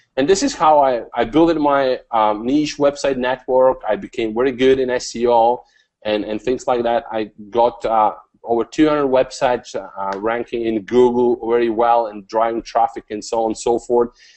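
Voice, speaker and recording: A man with a non-native accent speaks at a moderate pace. His pitch is medium and his intonation fairly even. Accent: foreign. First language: not English. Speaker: online marketing coach. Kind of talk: interview. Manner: hesitant, many fillers and repeats.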